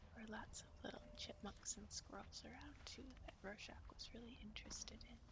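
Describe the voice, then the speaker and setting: Whispering in an American accent at a moderate pace, the speaker uses a gentle, relaxed tone with hardly any pauses, over noticeable background noise. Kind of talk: ASMR outdoor walk narration, casual talk to camera. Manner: soft, gentle, relaxed.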